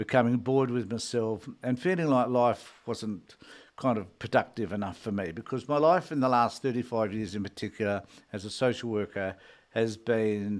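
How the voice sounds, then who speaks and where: The recording is very clean with a silent background as a man talks in an Australian accent. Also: medium pitch for a man, ordinary pitch variation, moderate pace. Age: 70s. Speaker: retired social worker and political commentator. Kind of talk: solo live stream talk. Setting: solo live stream.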